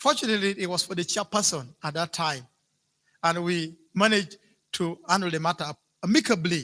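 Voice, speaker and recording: Raised, projected voice with a bright, sharp tone and ordinary pitch variation, dry and close with no echo, on a very clean recording with a silent background. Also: man. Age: 60s. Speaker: local politician. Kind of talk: public meeting speech. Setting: hotel meeting hall. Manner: halting.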